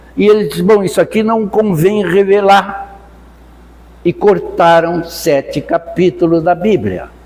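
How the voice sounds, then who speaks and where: A man speaks in a high voice with ordinary pitch variation. Noticeable background noise runs behind him. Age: 80s+. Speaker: spiritist lecturer. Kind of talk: lecture. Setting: spiritist center with audience.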